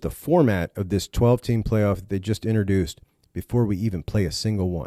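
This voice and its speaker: The sound is dry and close with no echo, in a very clean recording with a silent background. A man speaks at a fairly low pitch with ordinary pitch variation. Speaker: college football show host. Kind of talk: solo commentary video. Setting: wearing earphones. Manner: fast; animated.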